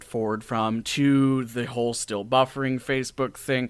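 Here is a man with a plain, everyday voice, speaking at a moderate pace with fairly even intonation. The recording is very clean, with a silent background. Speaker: podcast host and audio drama creator. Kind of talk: casual interview chat.

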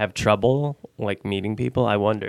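A man with an American accent speaks in an ordinary speaking voice at a medium pitch with fairly even intonation, recorded very cleanly against a silent background with a dry, close sound and no echo. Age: 30s. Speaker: blind date guest. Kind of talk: casual chat. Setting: studio.

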